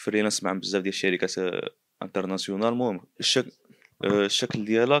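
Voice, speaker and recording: A man talks at a fairly quick pace in a fairly low pitch, with fairly even intonation. The sound is dry with no echo, over a quiet background. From Morocco. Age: 20s. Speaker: painter and artist; interviewee. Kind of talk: interview testimony. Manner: halting. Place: home room. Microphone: handheld.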